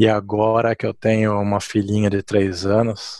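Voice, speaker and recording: Against a quiet background, a man talks fairly slowly at a fairly low pitch with monotone, flat intonation, in a dry, close sound with no echo. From Brazil, São Paulo. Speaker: leadership author and speaker. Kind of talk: interview.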